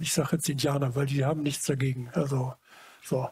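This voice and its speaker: A dark, mellow tone in a dry sound with no echo. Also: man. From Germany, Munich; Germany. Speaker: photographer; interviewee. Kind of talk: public talk before audience. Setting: stage with audience. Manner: halting. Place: hall. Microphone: headset.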